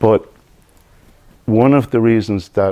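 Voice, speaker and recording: The tone is dark and mellow, with ordinary pitch variation. The speaker has an Irish accent. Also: man. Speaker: hypnotherapist. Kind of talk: presentation. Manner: deliberately slowed.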